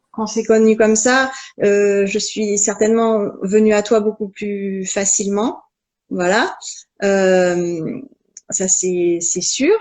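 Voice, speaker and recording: A woman speaks at a very slow pace. Her pitch sits in the medium range. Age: 40s. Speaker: naturopath and personal coach. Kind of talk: casual interview chat. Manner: halting, many hesitations.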